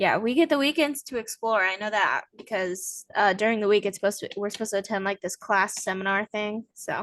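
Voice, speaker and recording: A woman with an American accent speaks in an ordinary speaking voice at a fairly high pitch, talking at a fairly quick pace with hardly any pauses and ordinary pitch variation, in a dry, close sound with no echo. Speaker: podcast host. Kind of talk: casual chat. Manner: casual, filler-heavy.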